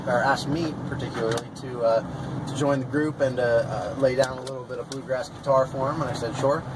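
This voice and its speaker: Noticeable background noise accompanies a man who talks at a moderate speed. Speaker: interviewee. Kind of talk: interview answer. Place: car. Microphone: camera far.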